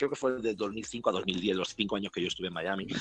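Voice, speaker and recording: A man talks in an unremarkable speaking voice. His pitch is fairly low, with ordinary pitch variation. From Spain, Bilbao (Basque Country). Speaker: DJ. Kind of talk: casual chat.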